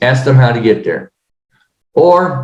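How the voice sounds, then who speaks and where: A somewhat breathy man at a fairly high pitch, with ordinary pitch variation. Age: 60s. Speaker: real estate business owner. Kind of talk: podcast interview. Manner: halting, many fillers.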